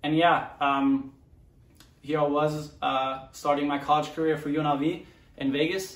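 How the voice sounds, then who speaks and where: A man with a German accent speaks at a fairly slow pace in a flat monotone. His pitch is fairly high, and the room echo is audible. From Germany, Mönchengladbach. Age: 20s. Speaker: professional soccer player. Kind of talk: personal story monologue. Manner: halting, many fillers. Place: home room.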